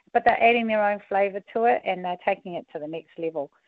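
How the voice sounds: A woman at medium pitch and a fast pace, with ordinary pitch variation and a dry, close sound with no echo.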